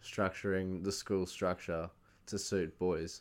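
A fairly low-pitched man with an Australian accent on a very clean recording with a silent background. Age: 20s. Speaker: podcast host. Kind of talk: casual chat.

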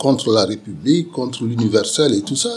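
A man is talking at a medium pitch. Behind him, music plays. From Senegal. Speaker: sociologist. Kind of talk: interview. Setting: bar. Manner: halting, many repetitions.

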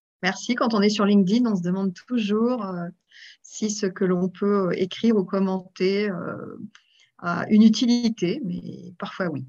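Speaking at a fairly slow pace, a woman uses a medium pitch, ordinary pitch variation and a dark, mellow tone. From France, Aveyron then Paris. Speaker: association president. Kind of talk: interview. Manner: animated; hesitant, many fillers.

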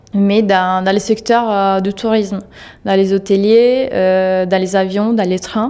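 Speaking fairly slowly with an Italian accent, a woman has a medium pitch, a dark, mellow tone and ordinary pitch variation. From Italy. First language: Italian (speaking French). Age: 30s. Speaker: digital advertising manager. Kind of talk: interview. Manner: halting, frequent hesitations.

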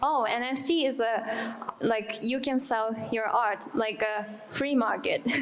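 Noticeable background noise and audible room echo surround a woman speaking at a very slow pace. Her voice is fairly high, with fairly even intonation and very even loudness. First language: Japanese. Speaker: multidisciplinary artist. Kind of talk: panel discussion. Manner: halting.

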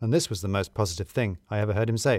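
Speaking at a fast pace, a man has a fairly low pitch and a slightly mellow tone. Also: ordinary pitch variation.

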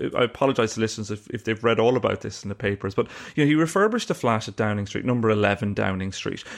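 A man with an Irish accent speaks at a very fast pace in a medium pitch. His pitch varies in an ordinary way, and the background is quiet. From Ireland. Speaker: investigative journalist and author. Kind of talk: casual interview. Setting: remote interview from Glasgow.

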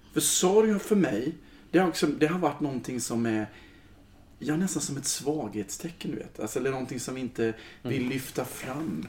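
A man with a plain, everyday voice speaks at a fairly quick pace. His pitch is fairly high and his intonation lively. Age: 40s. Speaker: choir leader. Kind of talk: casual chat.

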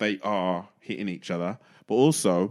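Fairly low in pitch, the man has an unremarkable speaking voice with ordinary pitch variation. The recording is very clean, with a silent background. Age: 30s. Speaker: DJ and former stand-up comedian. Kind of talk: casual chat.

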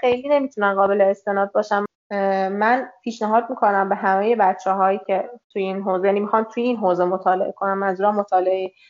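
A woman's very fast speech at a medium pitch with fairly even intonation. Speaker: copywriter and content manager. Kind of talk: interview conversation.

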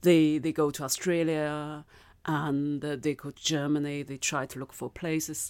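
A woman with a Chinese accent, very deep and low in pitch, with monotone, flat intonation, big swings in loudness and a moderate pace, on a very clean recording with a silent background. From China. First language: Mandarin. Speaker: novelist and filmmaker. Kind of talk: interview conversation. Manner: thoughtful, hesitant with fillers.

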